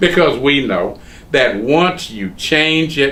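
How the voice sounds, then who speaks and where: A man talks with a Southern US accent. His pace is very slow. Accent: US South. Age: 70s. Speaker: lawyer. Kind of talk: oral history interview.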